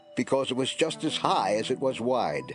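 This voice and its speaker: Music plays in the background as a man speaks. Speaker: narrator. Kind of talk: dramatic scripture reading.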